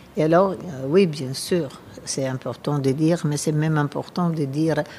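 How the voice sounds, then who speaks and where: A very slow, very deep and low woman's voice with fairly even intonation and an Italian accent. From Italy. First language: Italian (speaking French). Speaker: gallerist and design curator. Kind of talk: interview. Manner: halting.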